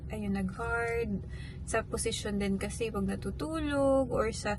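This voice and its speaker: A woman is soft-spoken. Audible room echo and music in the background surround her voice. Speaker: vlogger, mother. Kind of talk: casual vlog talk. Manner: soft-spoken in the morning.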